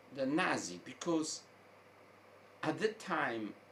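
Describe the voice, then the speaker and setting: Through noticeable background noise, a voice with an American accent speaks very slowly with very wide pitch swings. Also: man. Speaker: online commentator. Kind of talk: opinion monologue. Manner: halting, with repetitions.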